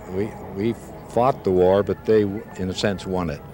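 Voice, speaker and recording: With noticeable background noise behind him, a man talks in a very deep, low pitch, varying it in an ordinary way. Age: 60s. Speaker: war veteran. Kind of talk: interview. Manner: halting.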